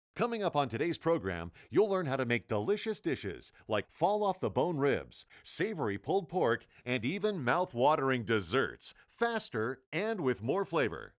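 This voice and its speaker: A man's fairly high voice with vocal fry and very wide pitch swings, at a moderate pace with hardly any pauses, on a very clean recording with a silent background. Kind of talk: infomercial voice-over.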